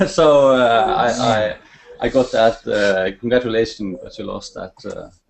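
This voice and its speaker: Talking at a fairly slow pace, a man with a Norwegian accent shows big swings in loudness. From Norway. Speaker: network marketer. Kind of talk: testimony. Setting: video call. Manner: halting.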